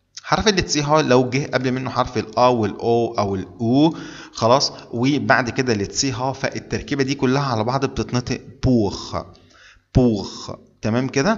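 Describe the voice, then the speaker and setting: The speaker has an Egyptian accent and a fairly slow pace. Pitch varies in an ordinary way. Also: man, medium pitch for a man. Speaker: German language teacher. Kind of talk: tutorial. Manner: repetitive, deliberate.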